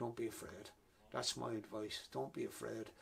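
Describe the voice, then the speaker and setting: At a moderate pace, a man speaks in a Wexford Irish accent. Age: 60s. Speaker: author. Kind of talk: interview.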